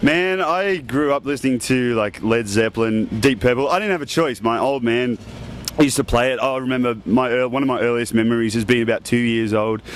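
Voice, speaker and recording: A man with an Australian accent speaks at a fairly quick pace and medium pitch. His pitch variation is ordinary, and there is noticeable background noise. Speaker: rock band member. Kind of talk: casual interview.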